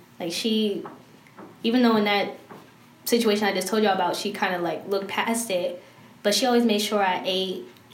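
A woman talks at a medium pitch with ordinary pitch variation and long, frequent pauses. Audible room echo and noticeable background noise are present. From Maryland, Prince George's County. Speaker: vlogger. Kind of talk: casual chat.

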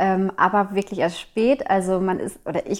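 This woman talks at a medium pitch. Her intonation stays fairly even. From Germany, East Westphalia (Minden area). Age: 20s. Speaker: midwife. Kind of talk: casual interview. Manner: hesitant with many fillers.

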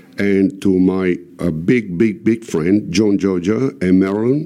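This man's very deep, low pitch and dark, mellow tone come with ordinary pitch variation. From Italy, San Marco in Lamis (Apulia). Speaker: emigrant guest. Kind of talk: casual chat. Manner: halting.

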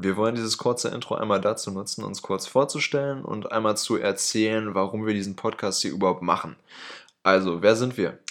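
A man talks at a fairly quick pace in an ordinary speaking voice. His pitch is fairly low and his intonation fairly even. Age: 20s. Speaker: podcast co-host, dual-study student. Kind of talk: scripted podcast intro.

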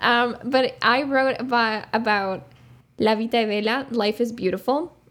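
Her intonation stays fairly even as this woman talks in a Spanish accent. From Uruguay. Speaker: podcast co-host, film student. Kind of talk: casual chat.

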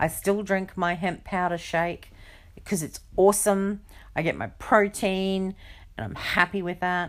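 Using a plain, everyday voice, a woman talks at a fairly slow pace and a medium pitch with fairly even intonation. Her recording is very clean with a silent background. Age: 40s. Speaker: podcast host. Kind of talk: casual monologue.

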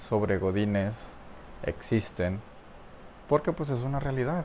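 A man with a Mexican accent speaks at a moderate pace and medium pitch. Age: 20s. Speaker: podcaster. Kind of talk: casual monologue.

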